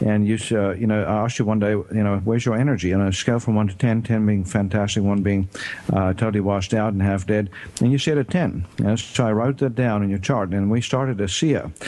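Over noticeable background noise, a man with a fairly low pitch speaks at a fairly quick pace with very even loudness and ordinary pitch variation. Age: 50s. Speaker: doctor and radio health show host. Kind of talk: radio talk show interview. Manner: halting, many fillers.

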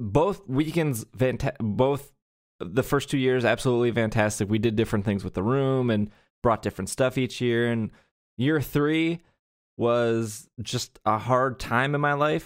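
A man's medium-pitched voice with an American accent, at a fairly slow pace. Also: ordinary pitch variation. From Wisconsin. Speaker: podcast host. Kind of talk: casual chat. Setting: remote call recording.

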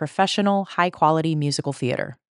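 In a plain, everyday voice with an American accent, a woman talks at a fairly quick pace with fairly low pitch and lively intonation, her sound dry and close with no echo over a quiet background. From Colorado, then Chicago area. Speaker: podcast host. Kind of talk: casual chat.

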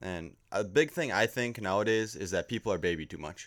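In a plain, everyday voice, a man with an American accent talks at a fairly quick pace and a fairly low pitch with ordinary pitch variation, on a very clean recording with a silent background. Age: 20s. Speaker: amateur fisherman. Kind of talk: casual chat.

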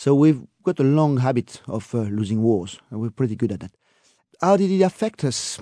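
A man with a French accent and a dark, mellow tone, medium pitch with very wide swings, a moderate pace and a dry, close sound with no echo. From France. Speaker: tour guide. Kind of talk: casual interview.

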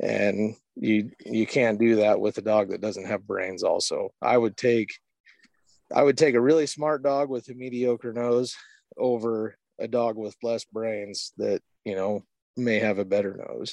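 With an American accent, a man speaks at a fairly slow pace in a medium-pitched voice. His intonation is fairly even, and the sound is dry and close with no echo. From Eastern Washington, US. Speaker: hunting guide and houndsman. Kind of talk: casual interview. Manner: halting, many fillers.

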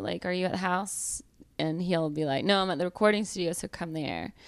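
A very clean recording with a silent background, in a Southern US accent. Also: woman. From US South, Georgia. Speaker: comedian. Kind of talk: casual chat.

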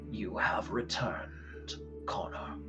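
A man's put-on character voice over loud music in the background. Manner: solemn, intoning.

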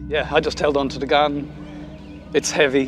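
Music plays in the background as a man talks. His pitch is medium and his pace moderate. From Ireland. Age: 50s. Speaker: bereaved father, attack survivor. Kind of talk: testimony. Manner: halting.

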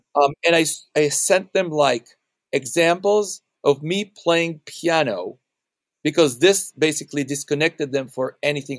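This man has an unremarkable speaking voice, fairly high in pitch with ordinary pitch variation, talking at a fairly slow pace in a dry, close sound with no echo. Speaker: video game composer. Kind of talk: casual interview. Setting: video call.

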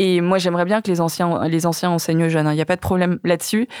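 A woman speaks at a very fast pace in a fairly low pitch. The sound is dry and close, with no echo. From Vietnamese family in France. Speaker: documentary filmmaker. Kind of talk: casual chat. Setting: studio. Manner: halting.

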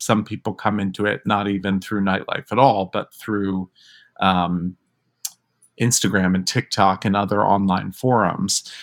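A man speaks at a moderate pace in an ordinary speaking voice, pitched fairly low. The recording is very clean, with a silent background. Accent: American. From New York. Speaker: drag performer and theater actor. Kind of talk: interview.

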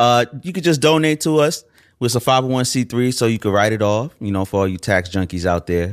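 A man with an ordinary speaking voice at medium pitch talks at a fairly quick pace with lively intonation, in a very clean recording with a silent background and a dry, close sound with no echo. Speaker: radio producer and aspiring show host. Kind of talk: casual chat.

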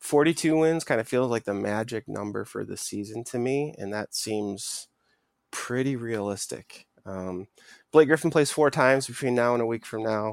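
A man speaks in an ordinary speaking voice at a moderate pace, with medium pitch and ordinary pitch variation. He has an American accent, and the sound is dry and close with no echo. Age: 30s. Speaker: sports podcast co-host. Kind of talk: casual chat.

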